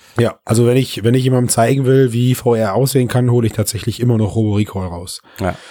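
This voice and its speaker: Speaking very fast in a dark, mellow tone, a man with a medium pitch comes through on a very clean recording with a silent background. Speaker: podcast co-host on VR and computing. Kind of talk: casual chat. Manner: animated.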